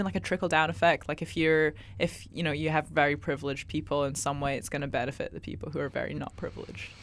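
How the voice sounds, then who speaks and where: A woman talks at a very fast pace in a very deep, low voice. Vocal fry runs through her speech. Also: very clean recording, silent background. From Scotland. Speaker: guest. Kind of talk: casual chat. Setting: studio. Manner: thoughtful, uses many fillers.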